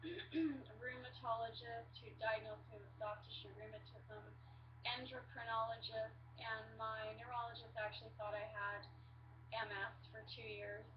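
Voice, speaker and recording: A woman talks at a moderate pace in a very deep, low pitch with monotone, flat intonation. Her loudness swings a lot, and audible room echo fills the recording. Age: 40s. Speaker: patient sharing illness story. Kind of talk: personal testimony to webcam. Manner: hesitant, many fillers.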